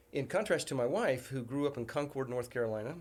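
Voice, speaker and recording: A very fast-talking man with a slight Southern US accent, medium pitch and ordinary pitch variation. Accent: slightly Southern. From US, military bases. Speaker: university president. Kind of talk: casual chat. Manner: halting.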